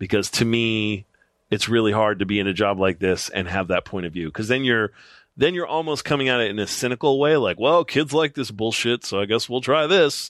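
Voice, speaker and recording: In a plain, everyday voice, a man talks at a fairly quick pace and medium pitch with lively intonation, the sound dry and close with no echo against a quiet background. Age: 40s. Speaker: TV network creative director and anime producer. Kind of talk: casual chat. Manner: casual, frequent filler words.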